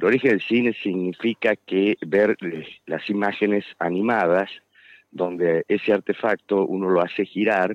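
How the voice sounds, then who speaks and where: His pitch is fairly low, with ordinary variation. The man speaks at a moderate pace. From Tucumán, Argentina. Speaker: architect and author. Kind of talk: radio interview. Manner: hesitant, filler-heavy.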